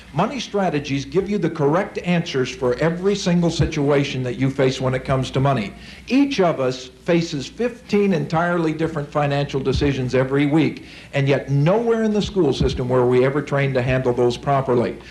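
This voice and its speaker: Over noticeable background noise, a man with an American accent talks at a fairly quick pace with hardly any pauses, using an upbeat tone, a fairly high pitch, ordinary pitch variation and very even loudness. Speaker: financial seminar speaker. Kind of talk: seminar talk to live audience. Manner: upbeat, persuasive.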